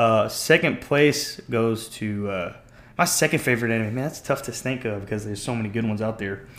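A man with a normal speaking voice, medium pitch, ordinary pitch variation and a fairly quick pace. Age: 20s. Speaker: anime fan guest. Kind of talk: casual chat.

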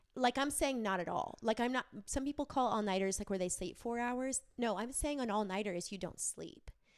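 A woman's plain, everyday voice, fairly high in pitch with ordinary variation, moving at a fairly quick pace with hardly any pauses. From Wisconsin. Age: 30s. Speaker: entrepreneur and graphic designer. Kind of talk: casual chat. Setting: her home.

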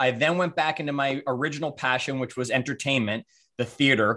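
A man with a Canadian accent speaks at a fairly quick pace in a medium pitch, his tone bright and sharp. His intonation is fairly even, and the recording is very clean with a silent background. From Canada, Toronto. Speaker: coach, author and speaker. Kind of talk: casual interview chat.

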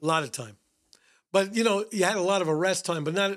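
A man with a New York accent and ordinary pitch variation, captured in a very clean recording with a silent background. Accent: New York (Bronx). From New York City, the Bronx. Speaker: retired police detective. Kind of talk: interview, storytelling.

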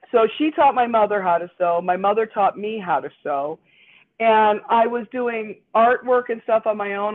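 A woman with a Chicago accent speaks with fairly high pitch. Her pace is moderate and her pitch variation ordinary. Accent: Midwestern American (Chicago area). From northern Indiana, near Chicago (Gary area). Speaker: costume designer and university teacher. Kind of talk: casual interview. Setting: remote call from her dining room.

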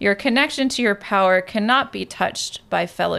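A woman talks at a moderate pace with vocal fry. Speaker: podcast co-host, tarot reader and medium. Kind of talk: casual chat.

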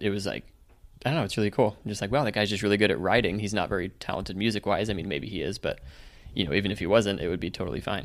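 A man's fairly low voice at a very fast pace, with ordinary pitch variation. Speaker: podcast host. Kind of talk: casual chat. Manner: faster talker.

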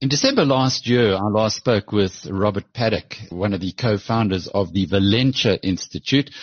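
A man talks at a moderate pace in a fairly low pitch, with ordinary pitch variation and hardly any pauses. He has an unremarkable speaking voice. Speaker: podcast host. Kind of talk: news bulletin and interview.

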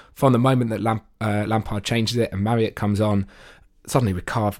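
Speaking at a very fast pace with fairly even intonation, a man comes through on a very clean recording with a silent background. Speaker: podcast co-host and football fan. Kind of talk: casual football chat.

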